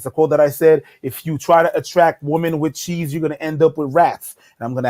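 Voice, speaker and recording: Very fast and fairly even in intonation, a man's fairly high voice comes through dry and close with no echo. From Montreal, Canada. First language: French. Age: 30s. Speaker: comedy YouTuber. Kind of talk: casual interview chat. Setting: livestream collab.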